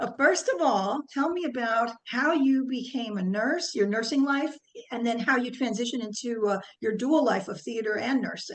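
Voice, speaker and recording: Here a woman talks with a high pitch. She has a slight New Jersey accent and a moderate pace. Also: ordinary pitch variation. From New Jersey, US. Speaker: podcast host, nurse. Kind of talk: podcast interview.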